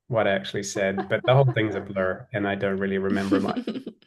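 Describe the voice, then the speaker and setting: A man talks in a New Zealand accent at a very fast pace. His pitch is fairly low. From New Zealand, Auckland. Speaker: design and innovation executive. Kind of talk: podcast interview. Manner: relaxed storytelling.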